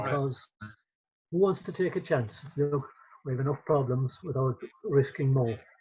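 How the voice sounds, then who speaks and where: A man with an Irish accent, fairly high in pitch and somewhat breathy, at a moderate pace with ordinary pitch variation and long, frequent pauses. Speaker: traditional storyteller and folklorist. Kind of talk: interview answer.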